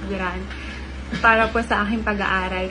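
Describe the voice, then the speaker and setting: A woman talks at a moderate pace as light background noise plays behind her. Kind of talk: scripted prank speech to camera. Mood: polite, earnest. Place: home room. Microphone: phone near.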